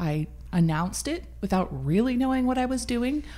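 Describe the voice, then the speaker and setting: A woman's somewhat breathy, dark, mellow voice with an American accent, fairly quick in pace and lively in intonation. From US Midwest. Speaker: nonprofit meal program founder. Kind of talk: casual interview.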